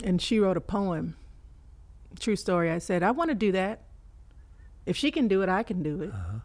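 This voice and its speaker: With a Texan accent, a woman of medium pitch talks in an animated tone at a fairly quick pace, using lively intonation and long, frequent pauses. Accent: Texan American. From Fort Worth, Texas. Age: 40s. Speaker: poet. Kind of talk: casual interview chat. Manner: laughs often, animated.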